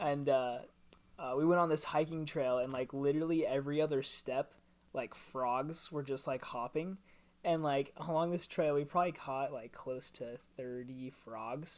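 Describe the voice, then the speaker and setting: At a moderate pace, a man talks in an unremarkable speaking voice, his pitch fairly high and his intonation fairly even. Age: 20s. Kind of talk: casual chat.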